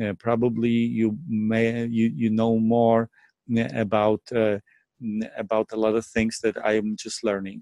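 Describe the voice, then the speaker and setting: A man's medium-pitched voice, dark and mellow in tone, monotone and flat, at a fairly slow pace, with a dry, close sound and no echo. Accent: Polish. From Poland. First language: Polish. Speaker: network marketing presenter. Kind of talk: sales pitch. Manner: hesitant, many fillers and repetitions.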